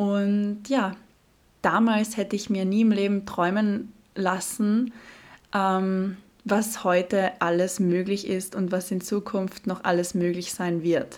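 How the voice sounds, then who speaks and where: At a very slow pace, a woman speaks in a medium pitch with flat, monotone intonation, in a very clean recording with a silent background. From Austria, Carinthia (Klagenfurt). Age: 20s. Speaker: fashion model and podcast host. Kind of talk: solo podcast monologue.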